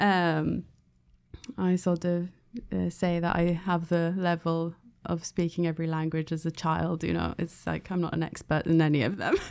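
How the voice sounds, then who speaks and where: She speaks with a British accent at a moderate pace. Her intonation is monotone and flat. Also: fairly low pitch for a woman. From England, London. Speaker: former Jehovah's Witness. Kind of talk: interview. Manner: hesitant, many fillers.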